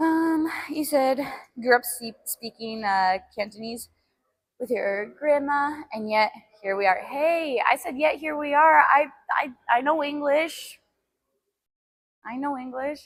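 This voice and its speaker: With long, frequent pauses and big swings in loudness, a woman speaks at a very slow pace in a high pitch, with ordinary pitch variation. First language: Albanian. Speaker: fitness streamer. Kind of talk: casual live-stream chat while working out. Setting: gym.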